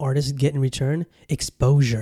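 The man's voice is somewhat breathy. Its tone is dark and mellow. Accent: American. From Southern California. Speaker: podcast host. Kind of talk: casual monologue. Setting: home studio with camera. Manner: animated.

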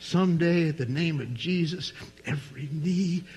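A man with a fairly high pitch and ordinary pitch variation speaks at a fairly slow pace, with noticeable background noise. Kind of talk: sermon, preaching to a live congregation, with an altar call at the end. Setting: church with live congregation. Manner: warm, jokey, conversational asides to the congregation.

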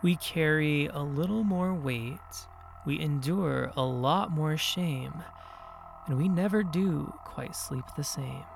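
With music in the background, a man in an American accent delivers his lines in a dramatic tone at a very slow pace, pitched fairly high with ordinary pitch variation. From San Bernardino, California. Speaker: podcast host and storyteller. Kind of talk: ghost story telling, first-person spooky narration. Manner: suspenseful, hushed and dramatic; animated, conversational, recounting in present tense.

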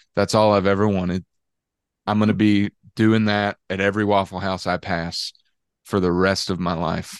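A man with a Southern US accent, fairly low in pitch, at a moderate pace with monotone, flat intonation and long, frequent pauses, in a dry, close sound with no echo against a quiet background. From Georgia, US South. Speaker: country singer-songwriter. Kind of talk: casual chat. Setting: video call.

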